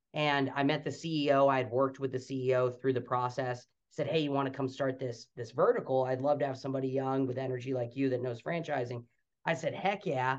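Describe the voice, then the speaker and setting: Fairly quick delivery from a man in an ordinary speaking voice, pitched medium with fairly even intonation. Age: young. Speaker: franchise development executive. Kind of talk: interview.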